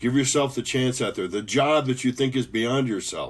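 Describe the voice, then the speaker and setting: A man with an American accent has an unremarkable speaking voice and ordinary pitch variation. The background is quiet. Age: 60s. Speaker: motivational speaker, former professor and pilot. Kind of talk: motivational talk.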